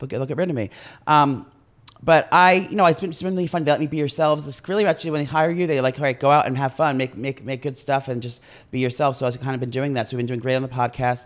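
A fairly high-pitched man at a very fast pace, with ordinary pitch variation. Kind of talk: casual chat. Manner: fast talker.

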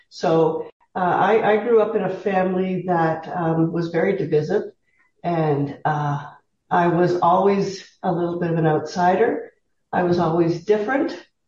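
A somewhat breathy woman with a Canadian accent, fairly low pitch, fairly even intonation and a fairly slow pace. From Southern Ontario, Canada. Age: 60s. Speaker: retired teacher, interview guest. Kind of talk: casual interview.

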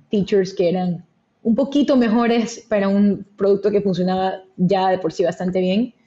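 A woman speaks at a medium pitch in a dark, mellow tone that is somewhat breathy. Her intonation is fairly even and her pace fairly slow. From Ecuador, Guayaquil. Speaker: venture capital investor. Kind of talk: interview.

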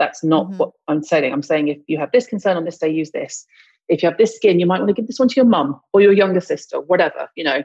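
This woman talks at a very fast pace with lively intonation. Her pitch is medium. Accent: British. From US South (Mississippi). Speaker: esthetician and skincare expert. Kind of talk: casual interview.

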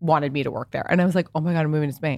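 A woman with an American accent. Her pitch is very deep and low. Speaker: fashion entrepreneur and content creator. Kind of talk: casual interview chat. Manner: fast, filler-heavy.

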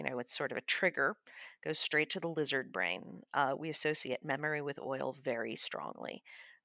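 With an American accent, a woman speaks at a very deep, low pitch in a bright, sharp tone with vocal fry and ordinary pitch variation, on a very clean recording with a silent background. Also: dry, close sound with no echo. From Chicago. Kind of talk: tutorial; casual chat.

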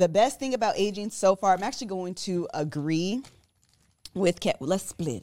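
This woman speaks at a moderate pace in a dark, mellow tone with medium pitch. Her intonation is lively, and her loudness swings widely. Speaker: podcast host. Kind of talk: casual chat.

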